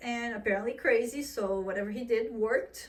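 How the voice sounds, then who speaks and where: Animated and fairly high-pitched, a woman speaks with a Portuguese accent and ordinary pitch variation. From Portugal. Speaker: vlogger. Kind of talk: casual vlog monologue.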